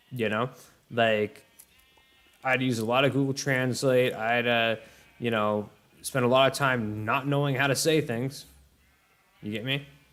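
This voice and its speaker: Fairly slow, fairly even speech with long, frequent pauses over background music. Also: man, medium pitch for a man. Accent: American. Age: 20s. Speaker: gaming streamer. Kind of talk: casual chat. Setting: livestream. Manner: halting, many fillers and repeats.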